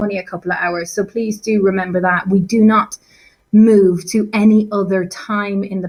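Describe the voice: Against a quiet background, the text is read aloud plainly with fairly even intonation.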